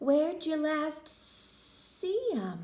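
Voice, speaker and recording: The speaker uses a put-on character voice. The pitch swings very widely. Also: woman. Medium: read story. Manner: drawling, polite.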